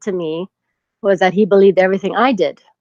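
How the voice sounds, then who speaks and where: A woman speaks at a medium pitch. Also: dry, close sound with no echo. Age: 40s. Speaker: caller. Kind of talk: phone-in call. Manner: halting.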